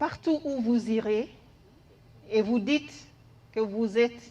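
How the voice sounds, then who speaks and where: Very slowly, a woman speaks with an English accent. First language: English (speaking French). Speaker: head of a development agency office. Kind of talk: farewell tribute speech.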